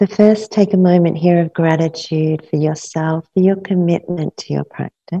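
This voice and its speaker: A dark, mellow, somewhat breathy tone with fairly even intonation, a moderate pace and hardly any pauses, over a quiet background. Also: woman, fairly low pitch for a woman. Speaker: yoga nidra teacher. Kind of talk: guided meditation; guided meditation instruction. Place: studio.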